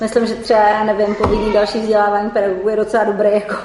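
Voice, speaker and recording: Noticeable background noise runs through this clip. The woman's voice is fairly high. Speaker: teacher. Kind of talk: casual group discussion.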